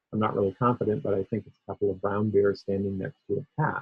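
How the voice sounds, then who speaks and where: This man has a plain, everyday voice with an American accent. He speaks at a fairly low pitch with fairly even intonation. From US Northeast (Maine). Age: 60s. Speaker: tech researcher and keynote speaker. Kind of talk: conference keynote. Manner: conversational with frequent fillers.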